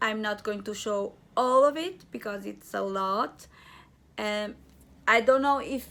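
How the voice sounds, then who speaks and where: A woman with a Portuguese accent and a bright, sharp tone speaks at a very slow pace on a very clean recording with a silent background. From Portugal. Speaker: crochet and knitting vlogger. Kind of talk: craft vlog, casual show and tell. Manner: halting.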